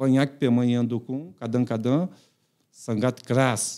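Very slow male speech with a dark, mellow tone over a quiet background. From Brazil. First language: Portuguese (speaking Indonesian). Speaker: retired footballer and coach; guest. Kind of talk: casual interview. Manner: halting. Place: studio. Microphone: studio mic.

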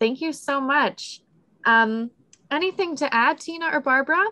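Her tone bright and sharp, a woman talks at a fairly slow pace. Her intonation is lively, and the background is quiet. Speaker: museum public programs manager and event moderator; event moderator. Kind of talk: event moderation. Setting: video call. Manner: friendly, upbeat. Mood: polite, warm. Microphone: video call.

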